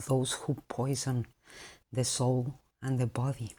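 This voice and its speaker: A woman's very deep, low voice at a very slow pace, with a non-native accent. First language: not English. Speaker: vlogger. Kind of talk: monologue.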